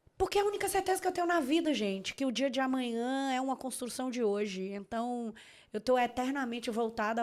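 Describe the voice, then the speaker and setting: A woman's high-pitched, animated voice at a fairly quick pace, with very wide swings in pitch. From Bahia, Salvador. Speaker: lawyer. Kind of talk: casual chat.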